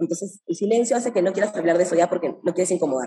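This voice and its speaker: Her tone is dark and mellow. The voice belongs to a woman. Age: 30s. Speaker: entrepreneur. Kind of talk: interview.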